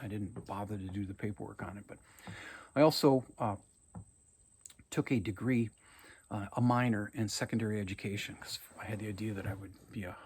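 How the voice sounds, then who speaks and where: With an Upper Midwest accent, a man speaks in a fairly low, somewhat breathy voice and fairly even intonation. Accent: Upper Midwest American. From Minnesota, Anoka. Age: 60s. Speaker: college English teacher. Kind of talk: recorded video lecture to students. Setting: at home on his farm. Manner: casual, talkative with many fillers.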